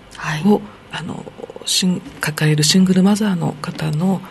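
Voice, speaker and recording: A woman's medium pitch at a fairly slow pace with ordinary pitch variation, against noticeable background noise. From Okinawa (Naha). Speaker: city council member. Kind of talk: radio interview.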